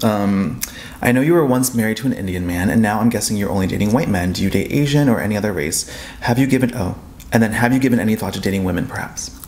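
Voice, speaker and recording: At a very fast pace, a man speaks at a fairly low pitch with ordinary pitch variation. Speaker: friend of the vlogger. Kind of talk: casual chat. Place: home room. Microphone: camera far.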